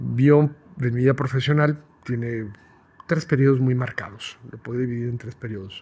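Delivered in a normal speaking voice at a moderate pace, the speech has fairly even intonation but big swings in loudness. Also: man, medium pitch for a man. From Guadalajara, Mexico. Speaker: process improvement consultant. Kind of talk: interview conversation.

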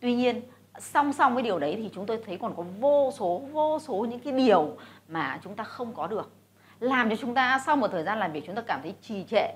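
Very wide pitch swings and big swings in loudness mark this woman's fairly high voice. She speaks at a moderate pace. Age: 40s. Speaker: businesswoman and investor. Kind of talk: motivational talk to camera.

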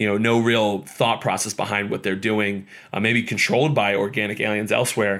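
A man with an American accent and fairly low pitch, an unremarkable speaking voice at a fairly quick pace, on a very clean recording with a silent background. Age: 30s. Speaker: podcast host, former baseball pitcher. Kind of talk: casual solo podcast talk. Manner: casual, filler-heavy.

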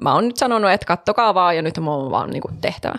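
In a very clean recording with a silent background and a dry, close sound with no echo, a woman uses an ordinary speaking voice, fairly low in pitch, with lively intonation at a fairly quick pace. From Savo, Finland. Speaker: podcast co-host. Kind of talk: casual chat. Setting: studio.

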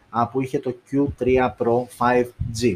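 The man's voice is somewhat breathy. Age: 30s. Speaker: tech YouTuber. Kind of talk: tech review live stream. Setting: live stream on video. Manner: casual, many fillers.

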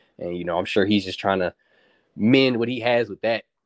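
A man with an American accent speaks in an ordinary speaking voice at a fairly quick pace, with fairly low pitch and ordinary pitch variation. The recording is very clean, with a silent background and a dry, close sound with no echo. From US South, Charlotte, North Carolina. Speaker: podcast guest, friend of host. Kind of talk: casual chat.

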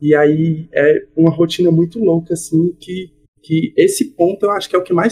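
Here a man with a plain, everyday voice speaks at a fairly high pitch. His pace is moderate, with ordinary pitch variation. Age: 20s. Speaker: stand-up comedian and engineer. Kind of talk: casual interview chat.

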